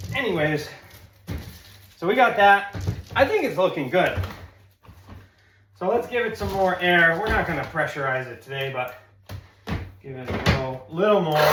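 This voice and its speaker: A man with an American accent talks at a moderate pace in a high voice, his pitch swinging very widely and his loudness rising and falling sharply, with long, frequent pauses, noticeable background noise and audible room echo. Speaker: handyman video tutorial host. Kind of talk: tutorial. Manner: casual, chatty.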